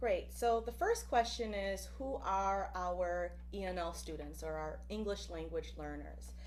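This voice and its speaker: Over noticeable background noise, a woman speaks at a fairly slow pace with hardly any pauses. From Buffalo, New York and Puerto Rico. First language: Spanish. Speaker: professor. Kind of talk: presentation.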